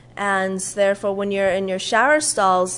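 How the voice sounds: At a moderate pace, a woman speaks with a fairly bright tone, medium pitch and fairly even intonation.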